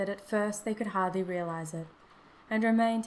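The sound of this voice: The speaker reads in an unforced reading voice, and the pitch moves in an ordinary way.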